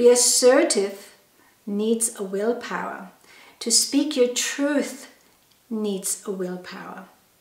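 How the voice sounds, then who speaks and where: A woman's fairly high voice, ordinary pitch variation and a very slow pace, with audible room echo. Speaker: holistic health educator. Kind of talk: educational talk. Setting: wellness studio.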